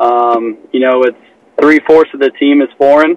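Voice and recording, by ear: Recorded in a dry, close sound with no echo, a man with an American accent talks at a moderate pace and medium pitch with fairly even intonation.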